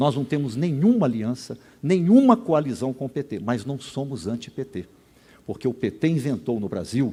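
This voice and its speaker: A man's dark, mellow voice at a medium pitch, fairly slow, with very wide pitch swings. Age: 70s. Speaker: gubernatorial candidate, sociologist. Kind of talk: political debate answer. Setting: stage at public event with audience.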